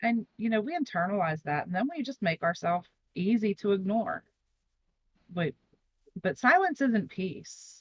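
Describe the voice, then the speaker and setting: A woman speaks at a moderate pace, her pitch swinging very widely. She leaves long, frequent pauses, and the sound is dry and close with no echo. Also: medium pitch for a woman. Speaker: podcast co-host. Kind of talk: casual discussion. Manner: gets louder when passionate.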